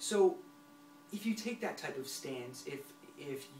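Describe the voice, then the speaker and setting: A man speaks with very wide swings in pitch. Noticeable background noise runs under his voice. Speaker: self-help vlogger who stutters. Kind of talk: motivational talk to camera. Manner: halting with word repetitions.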